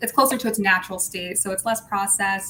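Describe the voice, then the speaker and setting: A woman keeps her intonation fairly even as noticeable background noise continues behind her. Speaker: brand livestream co-host. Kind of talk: casual livestream chat.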